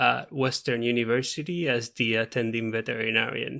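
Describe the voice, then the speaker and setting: A man is speaking. He has a Puerto Rican accent. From Puerto Rico. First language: Spanish. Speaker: veterinarian. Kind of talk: podcast interview.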